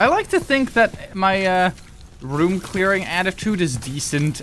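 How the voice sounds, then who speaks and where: Lively intonation in a man's voice, with noticeable background noise. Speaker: gaming streamer. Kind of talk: casual chat. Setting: live stream.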